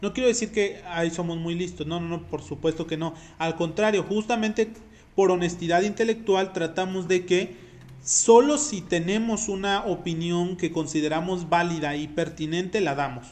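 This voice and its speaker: Male speech at a moderate pace, high in pitch, with ordinary pitch variation. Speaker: podcast co-host. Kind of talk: casual chat.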